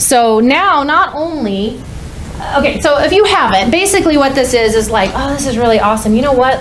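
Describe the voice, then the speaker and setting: Noticeable background noise and audible room echo fill the recording. A woman talks at a fairly quick pace with lively intonation. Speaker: conference speaker. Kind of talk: conference talk. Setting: stage with audience. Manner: fast; loud.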